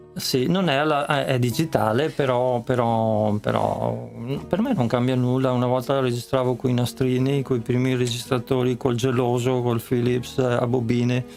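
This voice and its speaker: Amid noticeable background noise, a man talks at a moderate pace and medium pitch with hardly any pauses, fairly even intonation and very even loudness. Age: 70s. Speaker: musician. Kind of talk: interview. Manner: halting.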